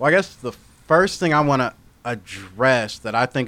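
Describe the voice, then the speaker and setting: In an American accent, a man with a plain, everyday voice talks at a fairly quick pace with lively intonation. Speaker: social media influencer. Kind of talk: casual chat.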